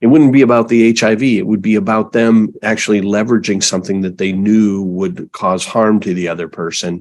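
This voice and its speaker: A man speaks in a normal speaking voice at a moderate pace. His pitch is fairly low, with ordinary pitch variation. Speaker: podcast host. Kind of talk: interview question, conversational.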